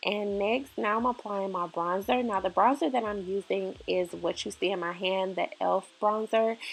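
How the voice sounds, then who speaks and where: Against a quiet background, a woman with a normal speaking voice talks at a medium pitch with ordinary pitch variation and hardly any pauses. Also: moderate pace. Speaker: beauty YouTuber. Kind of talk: tutorial. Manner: casual, filler-heavy.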